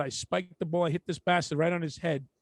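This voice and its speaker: In a Brooklyn accent, a man talks at a very fast pace with a high pitch and fairly even intonation. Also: dry, close sound with no echo. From Brooklyn, New York. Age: middle-aged. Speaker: podcast co-host. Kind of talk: casual chat.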